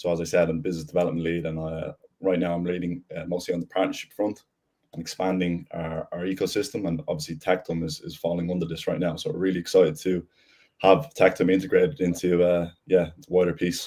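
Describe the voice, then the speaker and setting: At a very fast pace, a man with an Irish accent speaks in a very deep, low pitch with a dark, mellow tone and fairly even intonation. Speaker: business development lead. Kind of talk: panel discussion.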